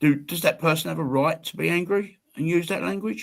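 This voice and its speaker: Recorded very cleanly with a silent background, a man talks at a moderate pace in a high pitch for a man. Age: 60s. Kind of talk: casual chat. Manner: animated.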